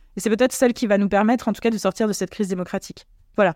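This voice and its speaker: Recorded with a dry, close sound with no echo and a very clean, silent background, a woman speaks at a medium pitch. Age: 30s. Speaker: political party leader. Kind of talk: interview. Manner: halting, many fillers and repetitions.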